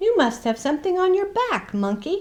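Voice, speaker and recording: Squeaky and high-pitched, a put-on character voice moves at a fairly quick pace with very wide pitch swings. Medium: read story. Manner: inquisitive.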